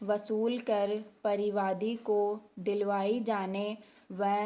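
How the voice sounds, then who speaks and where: Her medium-pitched voice stays monotone and flat throughout. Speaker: steno dictation teacher. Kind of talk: legal dictation reading for stenography practice. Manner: slow, measured, dictation pace.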